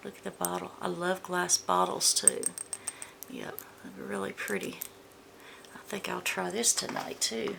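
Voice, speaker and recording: With noticeable noise around her, a woman speaks fairly slowly in an American accent. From US South, Georgia. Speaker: beauty vlogger. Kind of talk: product unboxing review. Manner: casual, chatty.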